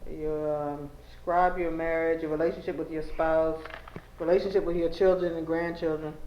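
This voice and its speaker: Against noticeable background noise, a woman speaks at a moderate pace in a fairly low pitch. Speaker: oral history interviewer. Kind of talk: interview questions.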